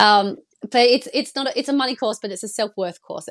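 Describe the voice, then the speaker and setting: With a Western Australian accent, a woman talks at a fairly quick pace in a dry, close sound with no echo. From Perth, Australia. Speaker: money coach. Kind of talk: casual interview chat. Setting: video call.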